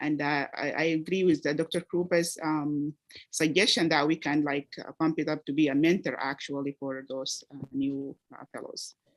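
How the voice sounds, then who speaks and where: With an Arabic accent, a woman speaks at a moderate pace in a very deep, low pitch, her intonation fairly even and the sound dry and close with no echo. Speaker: medical research fellow. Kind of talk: reflective remarks at graduation meeting. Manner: halting, many fillers.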